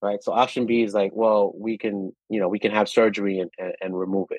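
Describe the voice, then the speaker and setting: A man's plain, everyday voice with an American accent, fairly low-pitched and fairly quick, with fairly even intonation. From New York City, Washington Heights. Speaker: wellness company CEO. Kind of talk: interview conversation.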